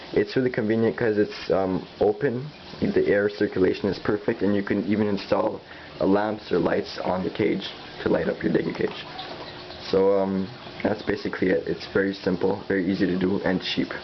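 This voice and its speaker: Noticeable background noise runs under the recording. A man speaks at a fairly quick pace. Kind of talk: DIY tutorial narration. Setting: cheap digital camera recording. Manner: hesitant, stuttering.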